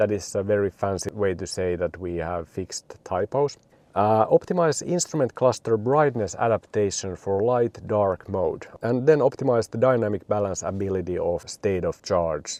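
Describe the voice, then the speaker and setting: A man's fairly low, dark, mellow voice with a Finnish accent, lively intonation, a moderate pace and hardly any pauses, dry and close with no echo over a quiet background. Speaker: car video reviewer. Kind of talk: product review. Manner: casual with frequent fillers.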